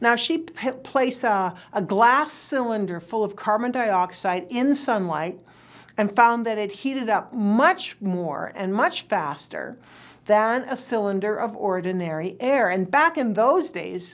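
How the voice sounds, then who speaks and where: Recorded very cleanly against a silent background, a woman uses an ordinary speaking voice at a fairly high pitch. She talks at a fairly slow pace with lively intonation. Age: 60s. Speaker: energy futures speaker. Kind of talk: lecture. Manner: measured, explanatory.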